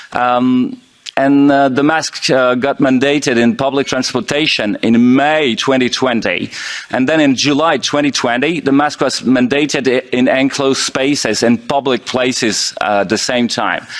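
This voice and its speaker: With a French accent, a man at medium pitch talks at a moderate pace with fairly even intonation. His loudness stays very even, and noticeable background noise can be heard. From France. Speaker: intensive care doctor. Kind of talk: conference presentation. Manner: halting, many fillers.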